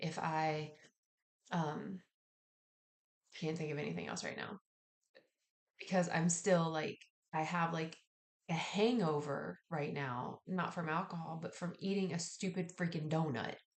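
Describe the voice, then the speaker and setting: Using a raspy put-on character voice, a woman speaks at a fairly low pitch and a moderate pace, with fairly even intonation and long, frequent pauses. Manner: tired, low energy.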